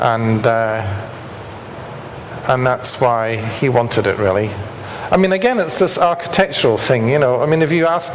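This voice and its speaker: In a Scottish accent, a man speaks at a moderate pace with lively intonation, very even loudness, and long, frequent pauses. Audible room echo and noticeable background noise are present. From Scotland. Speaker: structural engineer. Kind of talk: lecture.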